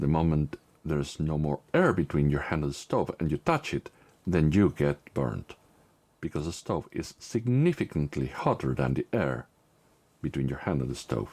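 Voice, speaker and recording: At a moderate pace, a man with a very deep, low voice, vocal fry and a non-native accent speaks with ordinary pitch variation in a dry, close sound with no echo. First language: not English. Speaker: tech YouTuber. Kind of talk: tutorial.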